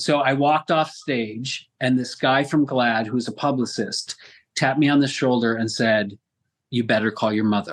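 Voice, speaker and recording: This man has an American accent and fairly even intonation. He talks at a moderate pace against a quiet background. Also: medium pitch for a man. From US Northeast, western New York. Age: 60s. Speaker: actor. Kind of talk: interview. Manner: halting.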